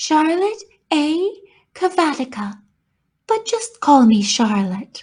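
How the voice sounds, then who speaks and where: A woman's put-on character voice, high in pitch with very wide pitch swings, at a fairly slow pace broken by long, frequent pauses. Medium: read story. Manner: kindly, calm.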